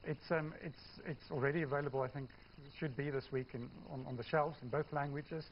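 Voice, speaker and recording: Talking at a very fast pace, a man with a South African accent holds a fairly high pitch in a monotone, flat intonation. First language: Afrikaans. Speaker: novelist. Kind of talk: TV news interview. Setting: TV studio. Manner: hesitant, many fillers.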